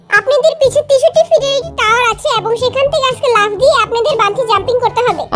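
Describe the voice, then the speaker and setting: A woman speaks in a put-on character voice. Her pace is fairly quick. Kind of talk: formal standard Bangla announcement. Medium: fan dub. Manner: businesslike, formal.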